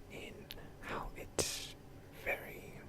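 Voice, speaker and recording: The voice is a whisper. Behind it sits noticeable background noise. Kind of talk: ASMR gaming commentary. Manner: whispered; rambling, hesitant.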